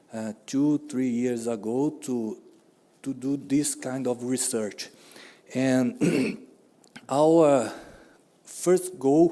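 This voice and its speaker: A man speaks very slowly with long, frequent pauses. His voice is medium in pitch with ordinary variation. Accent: non-native. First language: Portuguese. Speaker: economics researcher. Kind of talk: conference presentation.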